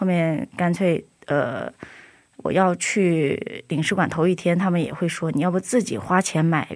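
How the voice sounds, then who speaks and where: A woman with a normal speaking voice, fairly low in pitch, with ordinary pitch variation, a fairly slow pace and very even loudness. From China. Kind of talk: interview testimony. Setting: studio.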